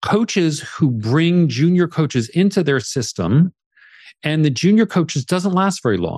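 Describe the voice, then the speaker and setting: In a plain, everyday voice, a man speaks at a moderate pace and a fairly high pitch, his loudness very even, the sound dry and close with no echo against a quiet background. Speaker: coach and author. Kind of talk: interview conversation.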